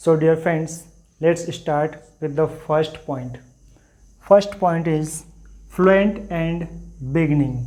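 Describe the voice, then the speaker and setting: This man has a dark, mellow tone, a fairly high pitch, and an Indian accent. He talks very slowly with long, frequent pauses and fairly even intonation, and the room echo is audible. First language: Hindi. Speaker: English teacher. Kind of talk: tutorial. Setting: classroom with board.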